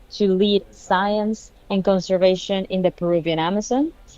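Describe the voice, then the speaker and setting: With a Spanish accent, a woman speaks at a moderate pace in a medium pitch, her tone dark and mellow and her intonation fairly even. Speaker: scientist and conference speaker. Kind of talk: conference keynote talk.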